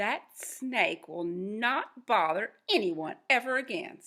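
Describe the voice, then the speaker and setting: Using a put-on character voice, a woman speaks at a fairly slow pace in a fairly high pitch with very wide pitch swings. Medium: read story.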